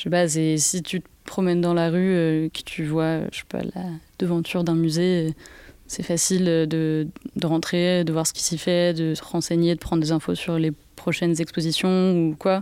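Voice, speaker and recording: Speaking at a fairly slow pace, a woman has a fairly low pitch, a dark, mellow tone and flat, monotone intonation. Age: 20s. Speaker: arts centre mediator. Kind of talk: guided tour and interview.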